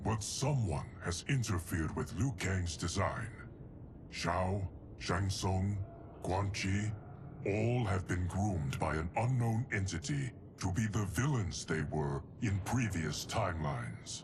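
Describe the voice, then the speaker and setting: Over loud background noise, a man uses a put-on character voice with a very deep, low pitch and a fairly slow pace. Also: very even loudness. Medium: video game. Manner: formal, grave.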